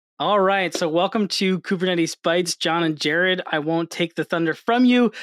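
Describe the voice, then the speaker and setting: At very even loudness and a moderate pace, a man with an American accent speaks in a high pitch, the sound dry and close with no echo. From New York. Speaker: podcast host. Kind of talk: casual chat.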